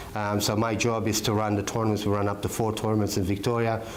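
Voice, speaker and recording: The speech comes at a fairly quick pace in a monotone, flat intonation, with noticeable background noise and audible room echo. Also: man. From Malta. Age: 50s. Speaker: martial arts instructor. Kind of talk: interview. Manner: hesitant, many fillers.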